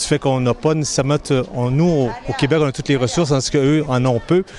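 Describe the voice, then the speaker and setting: This is a man speaking with ordinary pitch variation. Noticeable background noise runs behind him. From Quebec, Granby. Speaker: humanitarian volunteer. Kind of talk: interview. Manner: hesitant, repeating words.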